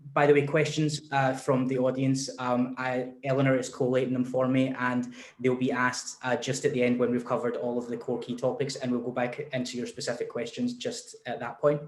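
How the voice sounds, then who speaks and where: Noticeable background noise surrounds a man with a Scottish accent and a medium pitch. He talks at a fairly quick pace with hardly any pauses, his intonation monotone and flat. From Scotland. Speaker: discussion moderator. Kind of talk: panel discussion.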